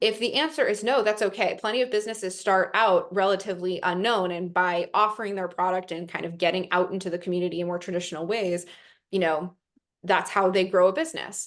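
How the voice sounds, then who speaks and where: With an American accent, a woman of medium pitch speaks at a very fast pace over a quiet background. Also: ordinary pitch variation. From New York. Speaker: investment platform representative. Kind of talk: webinar presentation.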